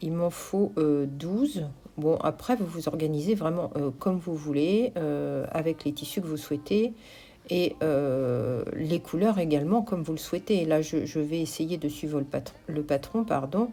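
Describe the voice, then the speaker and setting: A woman's very deep, low voice with a dark, mellow tone at a fairly slow pace. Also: ordinary pitch variation. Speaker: craft and shop vlogger. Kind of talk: vlog voice-over narration. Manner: slow, searching for words; hesitant, many fillers.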